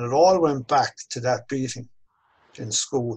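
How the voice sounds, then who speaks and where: The man's somewhat breathy voice carries his words at a moderate pace. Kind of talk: interview answer. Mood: reflective, personal storytelling. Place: home room. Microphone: video call.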